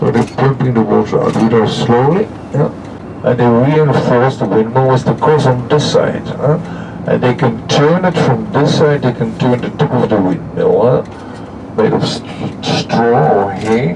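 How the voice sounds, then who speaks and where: A man with a medium pitch and ordinary pitch variation speaks against noticeable background noise. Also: fairly slow pace. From Netherlands. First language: Dutch. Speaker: tour guide. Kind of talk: guided tour commentary. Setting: on a coach.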